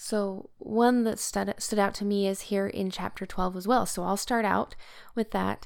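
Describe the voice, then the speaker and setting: A woman talks with an American accent in a monotone, flat intonation. The recording is very clean, with a silent background. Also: medium pitch for a woman. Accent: Utah accent, noticed by locals where staying. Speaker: podcast co-host, scripture study. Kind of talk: casual scripture study discussion.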